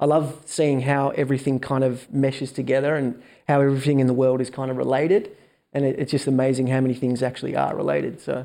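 In an Australian accent, a man speaks at a very fast pace with a dark, mellow tone and monotone, flat intonation. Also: medium pitch for a man. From Melbourne, Australia. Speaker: entrepreneur.

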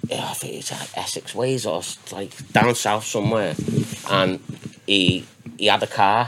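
Someone whispers at a fairly slow pace, with long, frequent pauses, big swings in loudness, and noticeable background noise behind. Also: man. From northwest England, Runcorn/Cheshire. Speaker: DJ and former raver. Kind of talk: casual chat.

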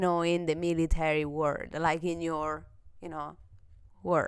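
A woman speaks in an animated tone with an Italian accent. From Italy. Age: 30s. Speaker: podcast host. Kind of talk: casual chat. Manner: loud.

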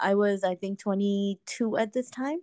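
A woman speaks in a normal speaking voice at a medium pitch, with ordinary pitch variation. The sound is dry and close with no echo, against a quiet background. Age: 30s. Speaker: woman going through fertility treatment. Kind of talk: coaching call, personal story.

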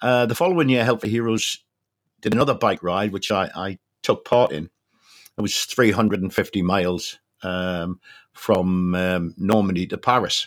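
A man speaks in a Geordie accent with ordinary pitch variation. The recording is very clean, with a silent background. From north-east England, Newcastle. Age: 60s. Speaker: charity fundraiser and army veteran. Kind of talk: interview.

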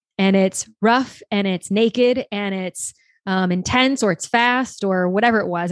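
A woman's normal speaking voice at medium pitch with an American accent, ordinary pitch variation and a moderate pace, dry and close with no echo over a quiet background. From US South, small-town Louisiana near New Orleans. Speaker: sex coach and business mentor. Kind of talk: casual interview chat.

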